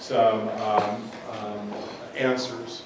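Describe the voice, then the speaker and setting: Noticeable background noise and audible room echo surround a man speaking with fairly even intonation. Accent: American. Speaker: pharmacy educator. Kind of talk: guest lecture. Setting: classroom, no microphone. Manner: loud; halting, many fillers.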